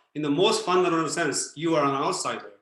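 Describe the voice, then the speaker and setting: A man speaks at a high pitch with a bright, sharp tone and fairly even intonation, with audible room echo around him. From Japan. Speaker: philosopher and former Zen Buddhist priest. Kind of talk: Q&A answer on a video talk. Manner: hesitant with many fillers.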